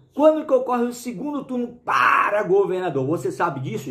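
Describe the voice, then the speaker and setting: In a room with audible echo, a man with a high-pitched voice speaks at a moderate pace, his pitch swinging very widely. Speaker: law teacher for police exam prep. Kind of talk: video lecture. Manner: casual, animated.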